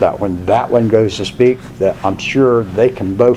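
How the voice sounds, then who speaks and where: Over noticeable background noise, someone speaks with an American accent at a moderate pace and with fairly even intonation. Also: man. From Washington, D.C. area. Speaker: college instructor. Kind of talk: lecture. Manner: conversational.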